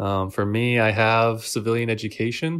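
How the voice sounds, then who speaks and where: A man with an unremarkable speaking voice and a General American accent talks at a moderate pace, fairly low in pitch and fairly even in intonation. The recording is very clean, with a silent background. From Washington State, US. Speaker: army warrant officer. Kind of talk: interview.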